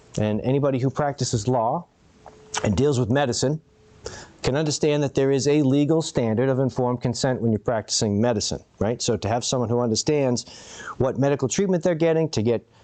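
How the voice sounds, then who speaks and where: With very even loudness, a man talks at a fairly quick pace in a medium pitch with ordinary pitch variation. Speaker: public commenter. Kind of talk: public comment. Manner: fast.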